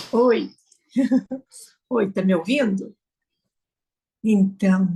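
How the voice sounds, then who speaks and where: A woman's somewhat breathy, dark, mellow voice of medium pitch, with fairly even intonation at a very slow pace. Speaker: choir singer and student. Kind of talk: casual chat.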